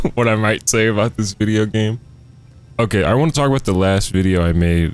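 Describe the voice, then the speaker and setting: A soft-spoken man talks at a fairly quick pace with fairly even intonation. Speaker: YouTuber talking about video games. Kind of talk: casual gaming monologue. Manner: rambling, halting.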